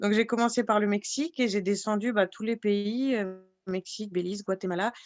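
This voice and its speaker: This woman talks at a moderate pace with a fairly high pitch and fairly even intonation. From France, Alsace (Fessenheim). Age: 30s. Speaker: pharmacy technician, traveller. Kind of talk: podcast interview. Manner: hesitant, many fillers.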